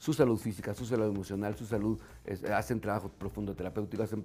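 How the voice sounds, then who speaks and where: A man talks at a very fast pace in a fairly low-pitched voice. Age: 50s. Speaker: business consultant and mentor. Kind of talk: casual interview. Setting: restaurant bar. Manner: halting, many fillers.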